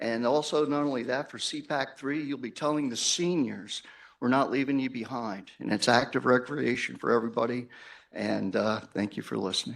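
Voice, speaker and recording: Recorded very cleanly against a silent background, a man with vocal fry speaks at a moderate pace and medium pitch. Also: ordinary pitch variation. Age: 60s. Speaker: public commenter. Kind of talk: public comment at board meeting. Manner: halting, filler-heavy.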